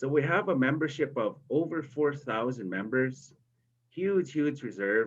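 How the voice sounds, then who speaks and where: A man's voice sits at a fairly high pitch with lively intonation. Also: fairly slow pace. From Big River First Nation, northern Saskatchewan, Canada. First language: Cree. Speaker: storyteller and university instructor. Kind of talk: storytelling interview. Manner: hesitant with repetitions.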